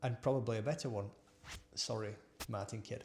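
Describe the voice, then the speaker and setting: In a South Yorkshire accent, a man talks at a fairly quick pace with a medium pitch. His voice carries vocal fry, and his pitch varies in an ordinary way. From northern England (Barnsley, South Yorkshire). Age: 40s. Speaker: engineer and former business owner. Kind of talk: personal storytelling monologue. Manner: halting, with repetitions and fillers.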